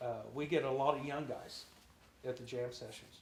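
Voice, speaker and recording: A man's somewhat breathy, fairly high voice in a monotone, flat intonation, with audible room echo. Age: 60s. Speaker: drummer and singer. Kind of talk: interview.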